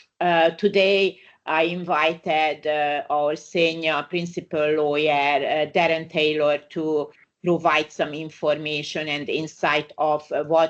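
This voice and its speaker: A very deep, low-pitched woman with a Hungarian accent, speaking very slowly in a monotone, flat delivery over a quiet background. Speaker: migration lawyer. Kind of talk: webinar presentation. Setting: online webinar. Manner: halting, many fillers.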